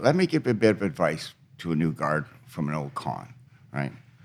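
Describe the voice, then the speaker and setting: A man with a very deep, low pitch and vocal fry talks at a moderate pace. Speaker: retired correctional officer. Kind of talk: interview. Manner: matter-of-fact.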